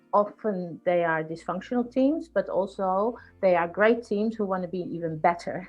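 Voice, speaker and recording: With music playing behind her, a woman speaks at a medium pitch with a Dutch accent. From Netherlands. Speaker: executive coach and mediator. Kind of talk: podcast interview.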